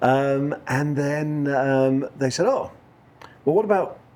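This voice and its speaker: This man has a northern English accent and a fairly high pitch. He speaks at a fairly slow pace with lively intonation. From northern England. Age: 40s. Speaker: country musician. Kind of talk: interview. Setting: couch interview.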